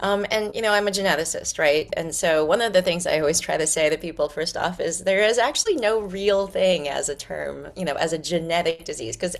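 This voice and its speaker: Music plays in the background as a woman speaks. She moves at a fairly quick pace with ordinary pitch variation. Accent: American. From New York. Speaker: pediatrics and genetics professor. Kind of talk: lecture. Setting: video call. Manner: fast.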